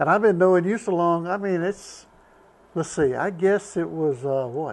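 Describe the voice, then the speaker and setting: In a Southern US accent, a man with a high pitch talks at a moderate pace with ordinary pitch variation. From US South, North Carolina. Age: 70s. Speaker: retired truck driver. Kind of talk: casual chat.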